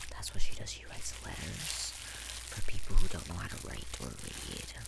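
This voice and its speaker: A whisper at a moderate pace, with noticeable background noise. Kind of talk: ASMR soft-spoken ramble; casual talk to camera. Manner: soft-spoken.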